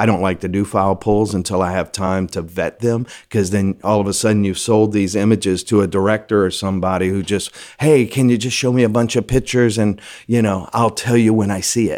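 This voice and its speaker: At a fairly quick pace, a man with an American accent speaks in a fairly low voice with fairly even intonation on a very clean recording with a silent background. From Louisiana. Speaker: film location manager. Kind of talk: casual interview.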